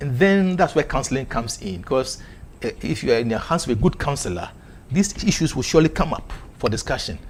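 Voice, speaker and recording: Over noticeable background noise, a man with a fairly high pitch talks very fast with very wide pitch swings. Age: 60s. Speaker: church elder giving marriage advice. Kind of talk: panel discussion.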